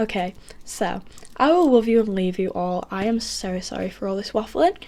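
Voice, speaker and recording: On a very clean recording with a silent background, a woman speaks at a medium pitch with a British accent. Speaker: book vlogger. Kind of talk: casual chat. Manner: very fast; animated. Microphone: poor camera recording quality.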